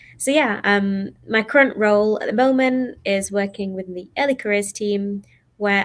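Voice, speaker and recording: With a Mancunian accent, a woman speaks at a moderate pace in a medium pitch with lively intonation. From Manchester, northern England. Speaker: HR graduate employee. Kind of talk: panel talk.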